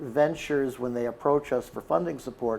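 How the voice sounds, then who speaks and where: Talking at a fairly quick pace, a man speaks in a Chicago accent. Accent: Chicago American. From US Midwest, Chicago. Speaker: investment firm managing partner. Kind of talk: podcast interview.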